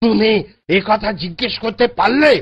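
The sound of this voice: A cartoonish character voice speaks with ordinary pitch variation. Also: man.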